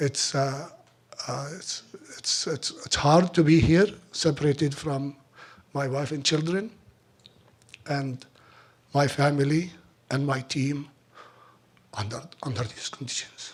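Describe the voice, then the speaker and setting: This man's voice is fairly high and somewhat breathy, with ordinary pitch variation. He speaks at a fairly slow pace, leaving long, frequent pauses. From Palestine. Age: 50s. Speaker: olive oil producer. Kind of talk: speech at fundraiser. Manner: halting.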